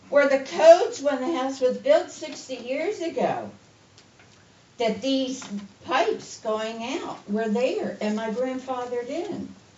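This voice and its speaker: A woman's high voice at a very slow pace, lively in intonation with big swings in loudness, with audible room echo and noticeable background noise. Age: 70s. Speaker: resident speaking at public comment. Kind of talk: public comment at town meeting.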